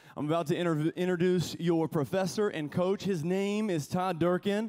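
A man's dark, mellow voice at a moderate pace against a quiet background. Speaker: school chapel pastor. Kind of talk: chapel talk and prayer. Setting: school chapel with students. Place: stage. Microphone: handheld.

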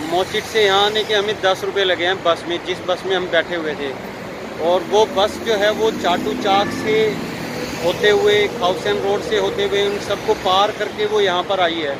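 A man at a fairly slow pace against loud background noise. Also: dry sound with no echo. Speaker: travel vlogger. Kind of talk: casual vlog chat. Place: street. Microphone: phone near.

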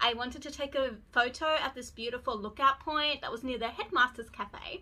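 A woman speaks at a moderate pace in a raised, projected voice. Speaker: beauty vlogger. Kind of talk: casual vlog chat. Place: home room. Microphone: phone near.

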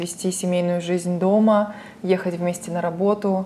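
Flat, monotone intonation from a woman at mid pitch and an unhurried, moderate speed. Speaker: interviewer. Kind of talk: casual interview.

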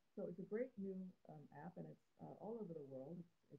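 A woman speaks with a somewhat breathy, fairly low voice. Her pace is fairly quick. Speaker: cartoonist. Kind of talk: live-stream drawing chat. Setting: live stream from phone. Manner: halting, many fillers. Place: home room. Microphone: phone near.

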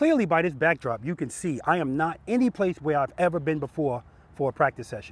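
Over noticeable background noise, a man's voice comes through dry, with no echo. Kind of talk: casual vlog intro. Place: street.

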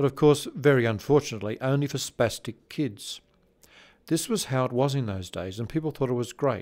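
An Australian-accented man at a fairly quick pace, medium pitch and ordinary pitch variation, over a quiet background. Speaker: conference presenter reading a tribute paper. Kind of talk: reading aloud a prepared tribute paper. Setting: conference presentation. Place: studio. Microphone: studio mic.

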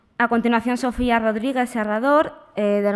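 Fairly high in pitch, a woman talks at a moderate pace. Her intonation is fairly even against a quiet background. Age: young. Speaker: predoctoral researcher, conference rapporteur. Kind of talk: conference summary talk. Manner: halting, with frequent repetitions. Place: hall. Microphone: podium.

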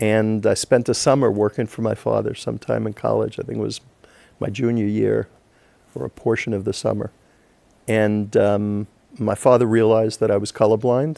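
With an American accent, a man speaks at a moderate pace in a fairly low pitch, his tone dark and mellow, his intonation fairly even, and the sound dry with no echo. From New York, Long Island; New York. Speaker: real estate lawyer. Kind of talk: interview. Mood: warm, smiling storytelling. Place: studio.

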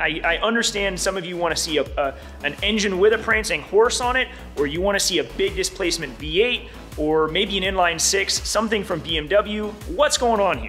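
The speech moves at a moderate pace. Faint music plays in the background. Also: man. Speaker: car builder vlogger. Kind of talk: casual vlog chat. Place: workshop. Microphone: phone near.

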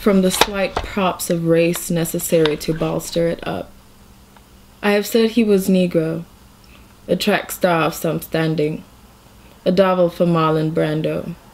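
Fairly slow and fairly even in intonation, the speech is marked by long, frequent pauses. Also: woman, fairly low pitch for a woman. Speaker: reader of a short story. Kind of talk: reading aloud of fiction. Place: home room. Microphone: phone near.

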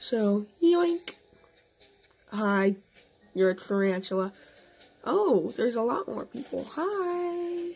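Over background music, a woman with a high voice talks very slowly, leaving long, frequent pauses. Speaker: gaming youtuber. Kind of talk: gameplay commentary. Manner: hesitant, many fillers.

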